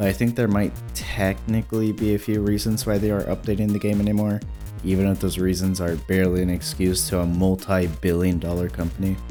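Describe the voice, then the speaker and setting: A man's very deep, low voice with lively intonation at a fairly quick pace, music in the background. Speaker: gaming video creator. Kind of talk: casual video essay voiceover.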